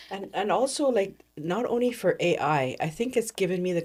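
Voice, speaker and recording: A woman's intonation is lively as she talks at a moderate pace. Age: 60s. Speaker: program participant, app builder. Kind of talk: casual chat. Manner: halting.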